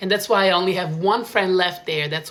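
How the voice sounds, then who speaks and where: The speaker talks at a fairly quick pace in an Italian accent. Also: woman. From Italy, small town. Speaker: vlogger. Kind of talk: casual monologue. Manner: animated.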